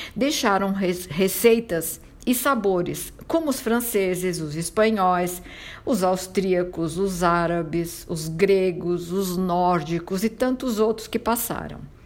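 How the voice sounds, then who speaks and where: A woman speaks at a very slow pace. Her medium pitch moves with ordinary variation. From southern Italy, Calabria. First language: Italian (speaking Portuguese). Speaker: podcast host on Italian culture. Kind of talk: scripted narration.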